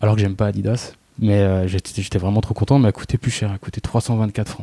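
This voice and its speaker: A man with a fairly low pitch, dark, mellow tone, fairly even intonation and fairly quick pace, in a dry, close sound with no echo. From provincial France. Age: 30s. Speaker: fashion blogger. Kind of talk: casual interview chat.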